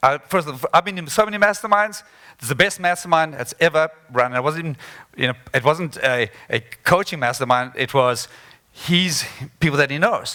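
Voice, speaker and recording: A man speaks in a bright, sharp tone. His pace is fairly quick. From South Africa. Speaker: motivational speaker. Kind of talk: conference talk.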